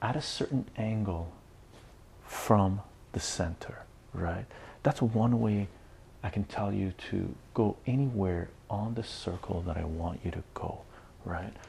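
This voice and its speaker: Soft-spoken and somewhat breathy, a man with a fairly low pitch and a dark, mellow tone talks fairly slowly with ordinary pitch variation and long, frequent pauses. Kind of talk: educational lecture.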